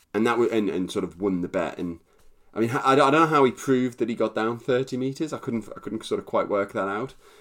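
A plain, everyday voice with lively intonation, in a very clean recording with a silent background. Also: man. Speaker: podcast co-host. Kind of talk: casual storytelling chat.

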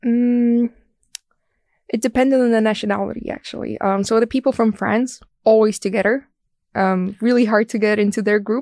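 A woman with a fairly high pitch and a dark, mellow tone speaks in a monotone, flat intonation at a moderate pace. She leaves long, frequent pauses, and the sound is dry and close with no echo. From Estonia. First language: Estonian. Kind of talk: casual interview.

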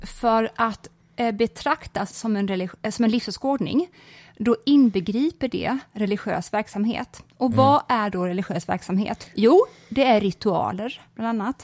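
A woman's fairly high, somewhat breathy voice, fairly slow and lively in intonation, in a dry, close recording with no echo. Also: very clean recording, silent background. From rural Sweden. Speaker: podcast co-host. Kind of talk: casual chat. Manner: sighing exhalations at the start.

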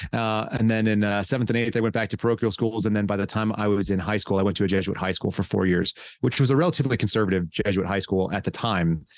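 Against a quiet background, a voice with an American accent races along at a very fast pace with hardly any pauses, very even loudness and fairly even intonation. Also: man, fairly low pitch for a man. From California and Texas. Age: 40s. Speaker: former FBI agent and whistleblower. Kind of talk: interview.

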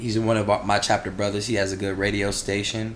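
A man with a fairly low voice and an American accent speaks in a flat monotone amid noticeable background noise and audible room echo. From Maryland. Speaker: fraternity member. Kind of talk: casual chat.

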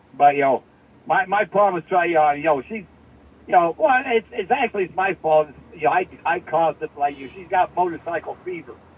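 A high-pitched man talks at a fairly quick pace with ordinary pitch variation and big swings in loudness, over noticeable background noise. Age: 70s. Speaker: older friend of the host. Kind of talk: casual chat.

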